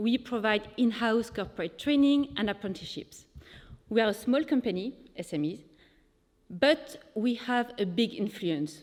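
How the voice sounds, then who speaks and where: In a French accent, a woman talks at a moderate pace with a fairly high pitch and lively intonation, on a very clean recording with a silent background. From France. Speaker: sustainability lead at a company. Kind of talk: presentation. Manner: hesitant with fillers.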